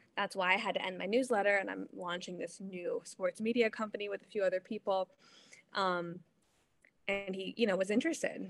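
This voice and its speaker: In a dry, close sound with no echo, a woman speaks in a normal speaking voice with an American accent. Her medium pitch carries fairly even intonation at a fairly quick pace. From Ohio. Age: 30s. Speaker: sports broadcaster and reporter. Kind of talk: casual interview.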